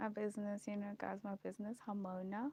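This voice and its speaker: A woman's medium-pitched voice comes through with a dry, close sound and no echo. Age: 30s. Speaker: video blogger. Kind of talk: casual chat.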